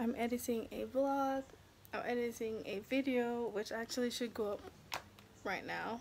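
A woman is speaking, and noticeable background noise can be heard behind her. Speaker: vlogger. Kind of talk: casual vlog chat. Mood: relaxed, cheerful. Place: home room. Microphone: phone near.

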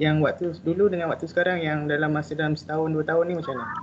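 With an ordinary speaking voice, a man talks at a fairly high pitch and with fairly even intonation over light background noise. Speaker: trainee participant. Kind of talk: Q&A question. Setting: video call. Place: home room. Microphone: video call.

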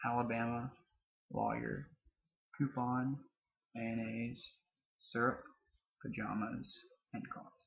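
A somewhat breathy voice with a Southern US accent moves at a very slow pace, with ordinary pitch variation. The background is quiet. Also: man. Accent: Southern American. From southern Mississippi. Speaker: vlogger. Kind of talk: casual talk to camera. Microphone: webcam.

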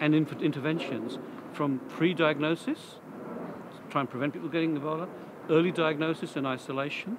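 With fairly even intonation, a man speaks at a fairly quick pace as noticeable background noise carries on. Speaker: interviewee. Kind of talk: interview answer. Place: street.

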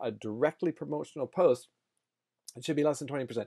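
Against a quiet background, a man speaks with a fairly high pitch, a dark, mellow tone and ordinary pitch variation. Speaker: online marketing youtuber. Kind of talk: casual tutorial vlog. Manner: loud; rambling, lots of fillers and repeats. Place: home room. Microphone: earbuds.

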